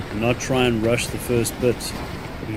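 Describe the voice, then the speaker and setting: A man speaks at a medium pitch with a South African accent. There is noticeable background noise. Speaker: gaming streamer. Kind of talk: gameplay commentary. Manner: casual, thinking aloud.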